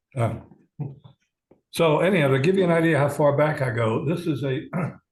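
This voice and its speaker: At a fairly quick pace, a man with an American accent speaks at a fairly high pitch, somewhat breathy, with ordinary pitch variation. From New York City. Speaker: amateur radio operator and physicist. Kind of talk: club presentation talk.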